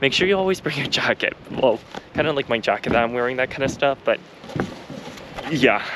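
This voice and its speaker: With noticeable background noise behind him, a man of medium pitch speaks with lively intonation. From Canada. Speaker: travel vlogger. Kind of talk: vlog narration and on-location talk. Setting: outdoors. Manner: loud, shouting over wind.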